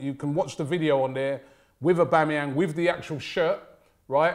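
A man with a normal speaking voice talks at a moderate pace against a quiet background. His fairly high pitch shows ordinary variation. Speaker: football show presenter; presenter. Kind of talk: casual banter. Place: studio.

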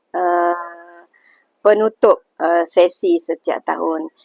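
The woman's voice is recorded dry and close, with no echo. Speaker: senior teacher. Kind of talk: interview. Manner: hesitant with many fillers.

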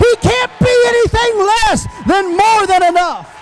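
Over loud background noise, a man talks in an extremely high, animated voice. His pace is fairly slow, and the sound is dry with no echo. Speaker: preacher. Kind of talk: sermon. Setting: church. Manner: animated, emotional, overcome with fervor; repetitive, rhythmic, exclamatory. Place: church. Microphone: handheld.

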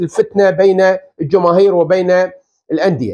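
Over a quiet background, a man is talking. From Iraq. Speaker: football pundit. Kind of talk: video commentary monologue. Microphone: lapel.

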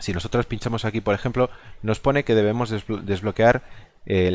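The speaker is a man. His voice sits fairly low in pitch. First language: Galician (speaking Spanish). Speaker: gaming video creator. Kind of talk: gameplay commentary. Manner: halting, many fillers.

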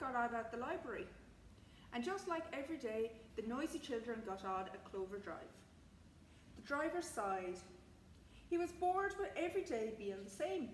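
Faint background noise sits behind the recording. A woman speaks with lively intonation.

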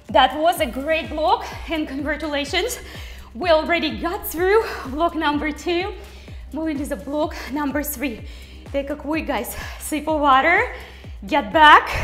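Over faint background music, a woman with a high voice and ordinary pitch variation speaks at a fairly slow pace, with long, frequent pauses. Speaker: fitness instructor. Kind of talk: workout coaching cues.

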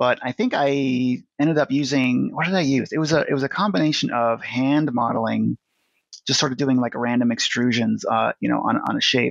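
A man with a General American accent and a plain, everyday voice speaks at medium pitch with ordinary pitch variation and very even loudness, in a dry, close sound with no echo. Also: fairly quick pace. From US West (Nevada). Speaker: digital artist. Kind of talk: casual interview.

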